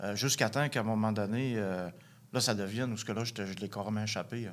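Recorded very cleanly against a silent background, a man speaks at a medium pitch and moderate pace with fairly even intonation. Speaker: recovering addict. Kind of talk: testimony. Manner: halting.

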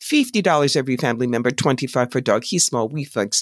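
A woman in an American accent at a moderate pace, with very wide pitch swings and a very clean recording over a silent background. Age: 60s. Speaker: psychic medium and author. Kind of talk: casual interview chat.

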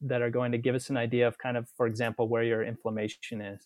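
A man speaks at medium pitch with an American accent. His intonation is monotone and flat. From Utah. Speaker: family physician. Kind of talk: interview.

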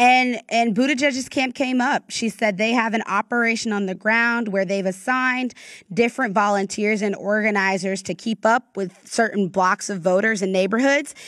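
On a very clean recording with a silent background, a woman speaks in a normal speaking voice at a fairly high pitch with ordinary pitch variation. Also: moderate pace. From US South, North Florida. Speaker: political reporter. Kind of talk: interview.

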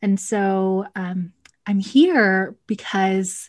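The recording is very clean, with a silent background. A woman with an American accent speaks at medium pitch in a somewhat breathy voice. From Texas (Cedar Hill, near Dallas). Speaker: instructional coach, video coaching specialist. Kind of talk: interview.

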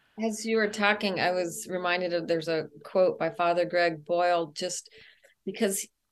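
A normal speaking voice with an American accent moves at a moderate pace with fairly even intonation. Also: woman, fairly low pitch for a woman. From US South, El Paso, Texas. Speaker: author and speaker. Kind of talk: casual interview.

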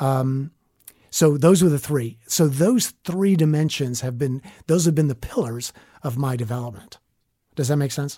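A man talks at a moderate pace with a Southern US accent, his pitch fairly high with ordinary variation. His tone is dark and mellow and somewhat breathy. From US South (southern Alabama, northwest Florida). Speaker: leadership coach. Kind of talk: interview.

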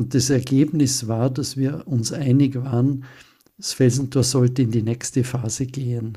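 A man talks at a medium pitch in a dark, mellow, somewhat breathy voice. His intonation stays flat and monotone. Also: fairly slow pace. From Austria. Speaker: retreat center director. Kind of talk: interview.

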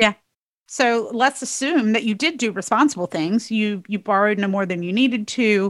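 A woman speaks in a normal speaking voice with an American accent, her pitch fairly high and its variation ordinary. The sound is dry and close with no echo, at a moderate pace, on a very clean recording with a silent background. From North Carolina. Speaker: podcast host, tax attorney. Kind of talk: interview conversation.

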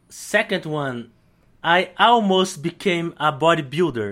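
On a very clean recording with a silent background, a man with a high pitch speaks with a Brazilian accent and lively intonation. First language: Portuguese. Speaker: lettering artist and calligrapher. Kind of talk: interview, casual chat. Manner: halting, searching for words.

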